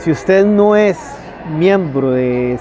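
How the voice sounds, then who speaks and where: A man speaks in a fairly high voice with ordinary pitch variation. The sound is dry with no echo, over light background noise. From Costa Rica. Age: 50s. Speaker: political candidate; candidate. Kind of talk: interview. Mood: earnest, critical. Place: open country. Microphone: lapel.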